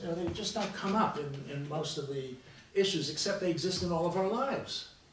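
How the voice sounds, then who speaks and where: Amid audible room echo and noticeable background noise, a man speaks with lively intonation. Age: 70s. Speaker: historian on a panel. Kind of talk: round table discussion. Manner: halting, with many false starts.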